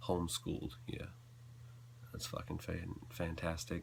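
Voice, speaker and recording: Vocal fry runs through this voice with an American accent. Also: man. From US South, North Carolina. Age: young. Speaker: video blogger. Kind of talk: personal confessional vlog. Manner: halting.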